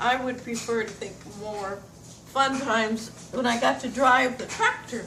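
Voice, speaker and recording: Speech comes at a very slow pace with an American accent and ordinary pitch variation. Audible room echo and noticeable background noise fill the recording. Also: woman. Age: 80s+. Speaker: retired farmer. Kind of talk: oral history recollection. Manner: halting.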